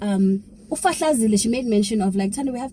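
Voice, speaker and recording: A woman speaks at a medium pitch with a dark, mellow tone. Her voice is somewhat breathy, with lively intonation. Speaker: YouTuber. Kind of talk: vlog. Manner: whispering.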